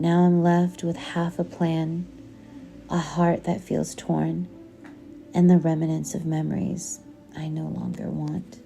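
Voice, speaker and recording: With music in the background, a woman speaks in a calm tone at a very slow pace. She leaves long, frequent pauses. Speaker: audiobook narrator. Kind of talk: poetry reading. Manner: calm, soft-spoken.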